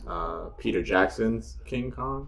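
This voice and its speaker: A man speaks in a New York accent. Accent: American (New York). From New York, US. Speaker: podcast guest. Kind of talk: casual chat. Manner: halting, many fillers.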